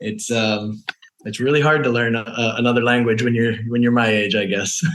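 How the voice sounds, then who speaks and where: Audible room echo surrounds a man with an American accent. He talks at a moderate pace with a medium pitch and fairly even intonation. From Maryland, US East Coast. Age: 40s. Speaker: world traveler. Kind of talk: interview conversation.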